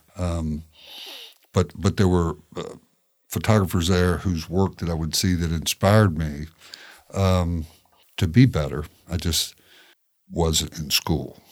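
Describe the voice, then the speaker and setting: A man's very deep, low voice with a Tennessee accent, fairly even intonation, a fairly slow pace and long, frequent pauses. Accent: Tennessee Southern. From Tennessee, Shelbyville. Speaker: photojournalist. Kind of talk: casual interview chat.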